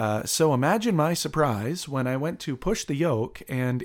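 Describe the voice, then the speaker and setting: This man has a plain, everyday voice, talking at a fairly slow pace with ordinary pitch variation. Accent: Canadian. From Canada, Windsor, Ontario. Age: 30s. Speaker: airline pilot and musician. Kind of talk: interview storytelling.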